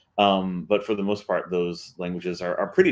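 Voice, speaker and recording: Very deep and low in pitch, a man rattles along at a very fast pace with monotone, flat intonation. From US South, rural deep South Texas. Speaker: author and translator, panelist. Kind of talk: panel discussion. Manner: halting, many fillers and repetitions.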